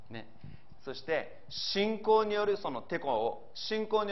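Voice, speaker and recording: A man's voice with audible room echo. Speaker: pastor. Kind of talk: sermon.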